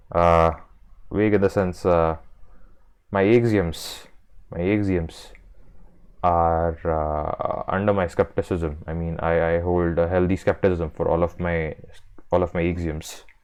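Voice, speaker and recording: A man with an Indian accent speaks in a very deep, low voice at a fairly slow pace, with long, frequent pauses. His intonation is monotone and flat, and the background is quiet. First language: Marathi. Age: 20s. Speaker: video essayist. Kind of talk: casual monologue. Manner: halting, many fillers and repetitions.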